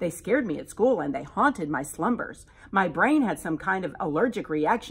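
Lively intonation in a natural reading voice

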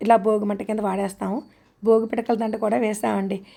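A woman talks at a fairly high pitch with vocal fry. Her tone is dark and mellow. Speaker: gardening vlogger. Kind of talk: vlog narration.

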